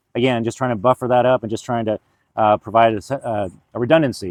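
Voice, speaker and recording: A man at a medium pitch, very fast pace and fairly even intonation. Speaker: tiny home community owner and vlogger. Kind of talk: casual video update. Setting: outdoors. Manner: halting, many fillers and restarts.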